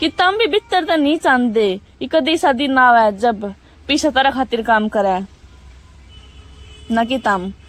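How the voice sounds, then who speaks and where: In a Haryana accent, a woman speaks at a high pitch with very wide pitch swings. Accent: Haryanvi. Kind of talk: book summary narration. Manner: motivational, casual.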